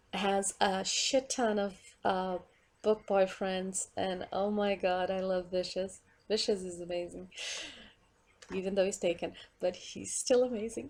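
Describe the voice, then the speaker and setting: Spoken in a Portuguese accent at a fairly slow pace, the voice shows ordinary pitch variation. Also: woman, medium pitch for a woman. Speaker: vlogger. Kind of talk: casual monologue rant. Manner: rambling with many fillers; animated.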